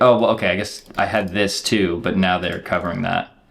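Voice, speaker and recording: A man is speaking. His pace is moderate. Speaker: chess streamer. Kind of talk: live game commentary. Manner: casual, filler-heavy.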